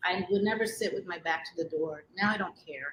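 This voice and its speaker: At a moderate pace, a woman with a New York accent talks in a medium pitch with a bright, sharp tone. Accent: New York American English. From New York City. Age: 40s. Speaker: interviewee, expat. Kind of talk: interview.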